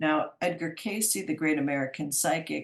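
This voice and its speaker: Lively intonation marks this woman's fairly low-pitched voice. She speaks at a fairly slow pace. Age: 60s. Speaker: psychic speaker. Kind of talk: talk to a community group. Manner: halting, with many fillers and restarts.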